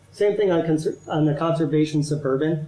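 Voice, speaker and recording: A man with an American accent, fairly high-pitched, talking at a very fast pace amid audible room echo. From Central Ohio. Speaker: urban planning consultant. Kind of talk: presentation to city council. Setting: council meeting. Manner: halting, with frequent restarts.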